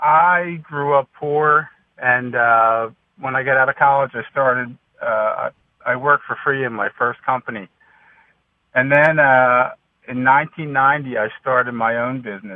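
A man's plain, everyday voice at a medium pitch, fairly even in intonation and fairly slow in pace. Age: 60s. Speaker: caller, small business owner. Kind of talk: radio call-in.

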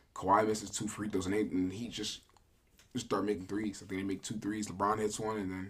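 Here is a man with an unremarkable speaking voice. He talks fairly quickly at a fairly low pitch. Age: 20s. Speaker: sports podcast co-host. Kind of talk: casual chat.

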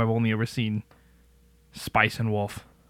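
In a plain, everyday voice, the man talks at a moderate speed and a medium pitch. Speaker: podcast host. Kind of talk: casual chat. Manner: casual, joking.

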